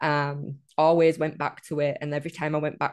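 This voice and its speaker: A woman's very deep, low voice in a northern English accent, monotone and flat, at a moderate pace. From northern England. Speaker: guest sharing sobriety story. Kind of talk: casual interview chat.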